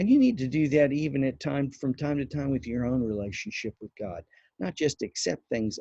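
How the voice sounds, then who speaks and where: Somewhat breathy with a dark, mellow tone, a man speaks at a fairly high pitch in a dry, close sound with no echo. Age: 60s. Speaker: pastor. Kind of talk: devotional teaching. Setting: outdoors on back patio.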